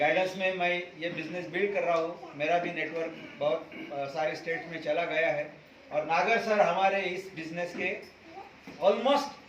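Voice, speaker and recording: Noticeable background noise and audible room echo around a man speaking with ordinary pitch variation. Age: 60s. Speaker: network marketing member, dietitian. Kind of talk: testimony.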